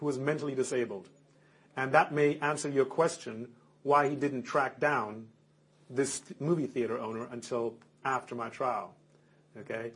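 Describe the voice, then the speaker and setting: At a moderate pace, a man with a medium pitch and ordinary pitch variation sounds somewhat breathy and takes long, frequent pauses. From Germany. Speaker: convicted prisoner. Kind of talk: interview. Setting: recorded interview on tape. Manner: halting.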